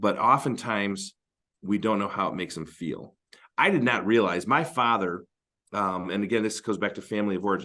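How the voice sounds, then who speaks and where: Here a man speaks in a bright, sharp tone at a fairly low pitch with ordinary variation. He moves at a fairly quick pace, and the background is quiet. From Northern Michigan. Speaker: marriage podcast co-host. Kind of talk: casual advice discussion.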